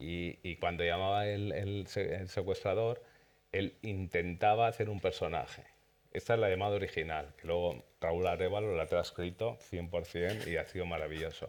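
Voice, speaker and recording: A normal speaking voice with fairly even intonation at a moderate pace, on a very clean recording with a silent background. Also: man, fairly low pitch for a man. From Spain, Zaragoza (Aragon). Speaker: series director. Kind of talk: festival Q&A panel. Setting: cinema with audience.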